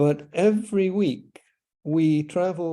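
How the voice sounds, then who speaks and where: In a Scottish accent, a man speaks very slowly in a dark, mellow tone against a quiet background. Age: 80s+. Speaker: author and retired orthodontist. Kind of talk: interview. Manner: halting.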